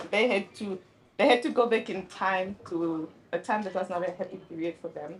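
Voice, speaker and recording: A woman speaks at a moderate pace and medium pitch, her pitch varying in an ordinary way, with noticeable background noise. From Namibia-Zambia border town. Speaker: author. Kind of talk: panel discussion.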